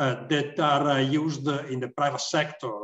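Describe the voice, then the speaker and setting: There is audible room echo and a quiet background. A man speaks at a fairly high pitch. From Italy. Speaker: consultant; panelist. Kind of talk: panel discussion. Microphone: video call.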